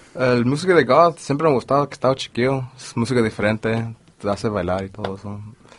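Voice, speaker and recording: Over noticeable background noise, a man at medium pitch talks at a very fast pace with ordinary pitch variation. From Los Angeles. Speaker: DJ. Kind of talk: casual chat. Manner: code-switching Spanish and English.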